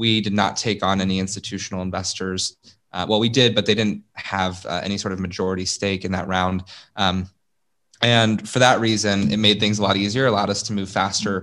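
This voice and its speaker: In an American accent, a man talks at a fairly low pitch with monotone, flat intonation. Behind him the background stays quiet. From US Midwest, Columbus, Ohio. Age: 20s. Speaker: startup founder. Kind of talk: interview.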